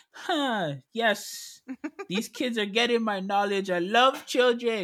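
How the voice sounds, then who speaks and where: A man speaks in a raised, projected voice. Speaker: podcast co-host and teacher. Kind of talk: casual chat. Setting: home recording during quarantine.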